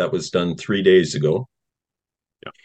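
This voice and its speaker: This is a man speaking with a Canadian accent. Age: 60s. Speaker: retired firefighter and activist. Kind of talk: interview. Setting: video call. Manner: halting.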